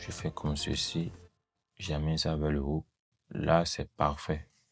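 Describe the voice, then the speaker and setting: Music plays in the background as a man speaks at a very slow pace. His pitch is very deep and low, and his intonation is monotone and flat. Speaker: video editing tutor. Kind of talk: tutorial. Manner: hesitant, many fillers.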